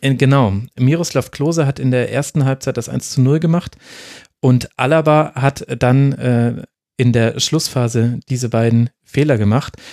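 Here a man speaks at a medium pitch with a dark, mellow tone. His intonation stays fairly even. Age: 30s. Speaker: podcast host. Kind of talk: casual chat.

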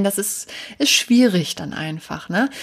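A woman with a normal speaking voice at a fairly slow pace. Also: very clean recording, silent background. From northern Germany. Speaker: podcast host, home organizing coach. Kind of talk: solo podcast monologue. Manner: many filler words (ähm, äh).

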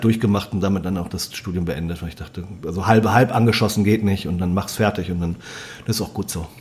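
A man's fairly low voice at a very fast pace over noticeable background noise. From Germany, moved around (Bremen area, Lüneburger Heide, Sauerland). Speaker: food and wine writer, former restaurateur. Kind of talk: casual chat. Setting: at guest's kitchen table. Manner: animated.

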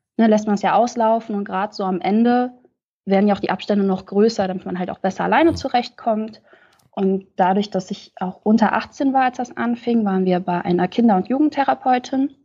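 A woman talks at a fairly quick pace, her pitch medium with ordinary variation. Her tone is dark and mellow against a quiet background. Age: 20s. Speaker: podcast guest sharing lived experience. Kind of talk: testimony.

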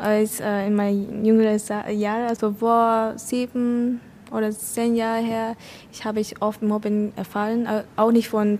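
A woman with a Vietnamese accent speaks fairly slowly in a dark, mellow tone with monotone, flat intonation. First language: Vietnamese (speaking German). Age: 20s. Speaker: vocational school student. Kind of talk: casual chat. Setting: café in front of a cinema. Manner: halting.

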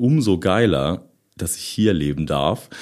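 A man talks at a fairly slow pace in a very clean recording with a silent background. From Lower Saxony, Germany (near Osterode am Harz). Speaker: rock drummer. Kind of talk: casual interview. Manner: hesitant, many fillers.

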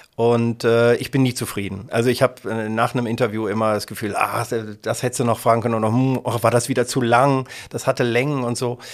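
At a fairly quick pace, a man with an ordinary speaking voice talks in a medium pitch, with fairly even intonation. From Germany, Kassel (northern Hesse). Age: 50s. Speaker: local radio editor-in-chief and presenter. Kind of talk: casual interview.

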